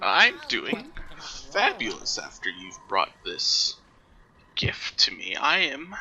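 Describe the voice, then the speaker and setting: A man's put-on character voice, croaky and raspy, extremely high in pitch, at a very slow pace. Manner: gleeful, cackling.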